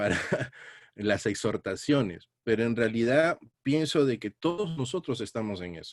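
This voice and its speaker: A man with an ordinary speaking voice and medium pitch talks at a fairly slow pace, with lively intonation and big swings in loudness. The recording is very clean with a silent background, and the sound is dry and close with no echo. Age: 60s. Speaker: Bible teacher. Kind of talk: sermon.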